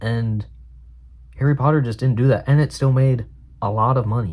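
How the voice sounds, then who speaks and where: This is a man's voice, somewhat breathy. He talks at a moderate pace. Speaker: film reviewer, student. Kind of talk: casual talk to camera. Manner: chatty, conversational.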